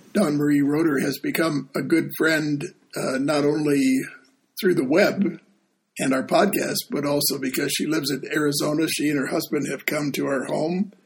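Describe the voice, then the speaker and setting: A moderate pace and fairly high pitch in a man's voice, an unremarkable speaking voice. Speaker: deacon and podcast host. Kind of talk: casual chat.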